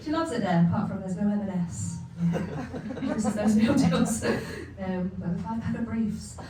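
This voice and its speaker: Amid noticeable background noise and audible room echo, a woman speaks at a moderate pace with a medium pitch and ordinary pitch variation. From eastern England. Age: 30s. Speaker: comedian. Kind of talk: stand-up.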